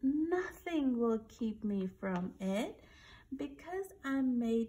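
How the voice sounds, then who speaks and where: A woman's sing-song voice, fairly high, warm and gentle in tone, with very wide pitch swings at a very slow pace. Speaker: reader of a bedtime story. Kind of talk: bedtime story read aloud from a picture book. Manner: gentle, sing-song, animated storyteller pitched at small children. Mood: gentle, soothing storytelling. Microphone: phone near.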